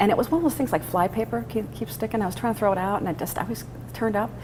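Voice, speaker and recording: With noticeable background noise, a woman speaks very fast in an American accent. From Chicago, northwest side. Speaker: stand-up comedian. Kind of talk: interview.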